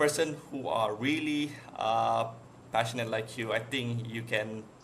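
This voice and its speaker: A man with a medium-pitched voice talks at a moderate pace and with fairly even intonation, with audible room echo and noticeable background noise. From Malaysia. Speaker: podcast host. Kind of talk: podcast interview. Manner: halting.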